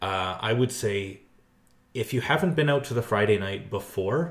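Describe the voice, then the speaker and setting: Somewhat breathy, a man speaks at a medium pitch and a moderate pace with lively intonation. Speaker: community group president. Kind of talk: casual interview.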